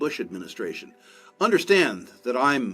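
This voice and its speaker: A man's pitch swings very widely at a moderate pace as music plays in the background. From United States. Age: 70s. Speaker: investor. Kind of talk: interview. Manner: measured, with frequent filler 'uh' and restarts.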